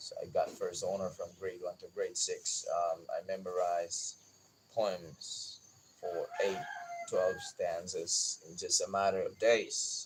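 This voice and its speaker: Against noticeable background noise, a man speaks at a very slow pace with big swings in loudness. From Philippines, Bisaya-speaking region. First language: Bisaya (Cebuano). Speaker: gardening YouTuber. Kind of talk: personal life story on livestream. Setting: outdoors in garden at dawn.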